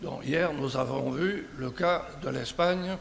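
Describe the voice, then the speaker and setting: Over noticeable background noise and audible room echo, a man with a southern French accent speaks at a very slow pace. His pitch is fairly high, with ordinary variation. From southern France. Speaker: conference speaker. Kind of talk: conference talk. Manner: hesitant, with fillers.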